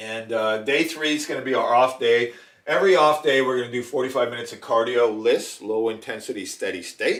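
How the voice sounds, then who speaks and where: A man's normal speaking voice at a medium pitch and a moderate pace. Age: 60s. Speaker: fitness coach / bodybuilding competitor. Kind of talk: tutorial. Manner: casual, many fillers.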